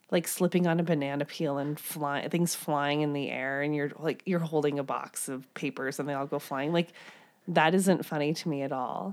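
Very deep and low in pitch, a woman with an American accent talks at a moderate pace with fairly even intonation. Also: very clean recording, silent background. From US Midwest. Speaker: podcast co-host. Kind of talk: casual chat.

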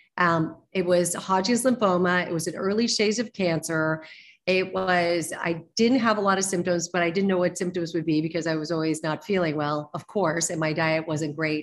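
An unremarkable speaking voice moves at a moderate pace with hardly any pauses and ordinary pitch variation. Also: woman. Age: 60s. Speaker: nutrition and wellness practitioner. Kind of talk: interview.

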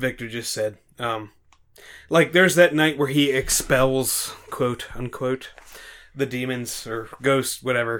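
At a fairly slow pace, a man with an ordinary speaking voice talks at a medium pitch with ordinary pitch variation. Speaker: podcast host. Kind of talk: casual chat, drinking game.

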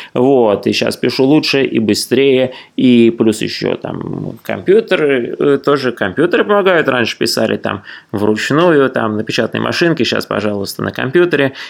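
Lively intonation and a moderate pace in an unremarkable speaking voice. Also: man, medium pitch for a man. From Russia. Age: 40s. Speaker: traveller and writer. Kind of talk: interview.

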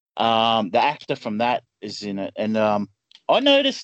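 A man speaks with an Australian accent. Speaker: film podcast guest. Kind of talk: casual chat.

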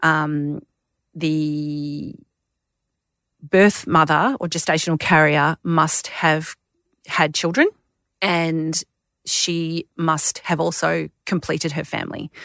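With an Australian accent, a woman speaks very slowly in a very deep, low voice, her intonation monotone and flat, with long, frequent pauses. The sound is dry and close, with no echo. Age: 40s. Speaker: intended mother. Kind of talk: interview. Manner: hesitant, with fillers.

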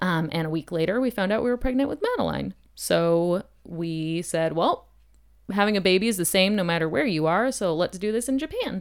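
A woman talks in an ordinary speaking voice with an American accent. Her pitch is medium and her intonation lively. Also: fairly quick pace. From New Hampshire, US. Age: 30s. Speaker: homeschooling mother and podcast co-host. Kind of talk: casual chat.

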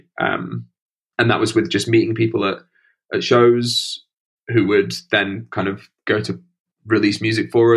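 A man in a Yorkshire accent, monotone and flat in intonation, at a moderate pace. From northern England, Sheffield (Stocksbridge). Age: 30s. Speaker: rock musician. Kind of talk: interview.

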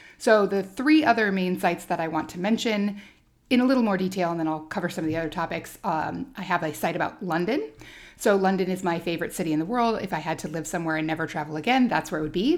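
Speaking at a very fast pace, a woman uses a fairly low pitch with ordinary pitch variation. She has an American accent. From Alaska. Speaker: travel blogger and podcast host. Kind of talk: solo podcast monologue.

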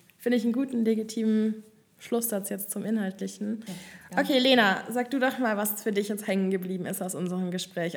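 A woman talks at a fairly quick pace in a normal speaking voice with ordinary pitch variation. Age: 20s. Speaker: student podcast host. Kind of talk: casual chat. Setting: studio.

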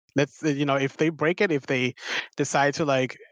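Speaking with a non-native accent, a man uses a fairly high pitch, a bright, sharp tone and fairly even intonation at a moderate pace, in a dry, close sound with no echo. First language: not English. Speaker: podcast co-host, dungeon master. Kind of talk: casual chat.

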